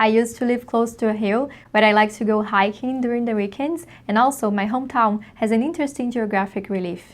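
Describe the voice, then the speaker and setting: In a Brazilian accent, the speaker moves at a fairly quick pace with ordinary pitch variation, on a very clean recording with a silent background. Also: woman, fairly high pitch for a woman. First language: Portuguese. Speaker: PhD researcher in ecology. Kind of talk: scripted self-introduction.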